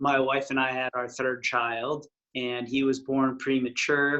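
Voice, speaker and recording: A man with an American accent, bright, sharp tone, monotone, flat intonation and a fairly slow pace. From West Texas. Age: 40s. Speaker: retreat chef. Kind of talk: interview.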